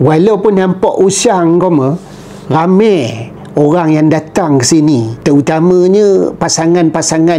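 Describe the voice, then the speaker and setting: Very slow speech in a strong Perak accent, amid noticeable background noise. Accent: thick Perak Malay. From Perak, Malaysia. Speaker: YouTuber. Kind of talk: casual vlog narration. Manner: conversational.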